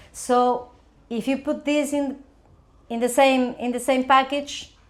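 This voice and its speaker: A woman with an Argentine accent speaks fairly slowly in a high pitch, with monotone, flat intonation. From Argentina. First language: Spanish. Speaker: crypto media editor. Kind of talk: casual interview. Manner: halting, repeats words.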